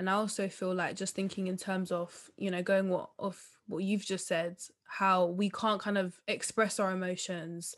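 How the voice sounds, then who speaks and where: On a very clean recording with a silent background, a woman at a medium pitch speaks in a monotone, flat way at a moderate pace with hardly any pauses. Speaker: podcast host. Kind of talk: interview conversation.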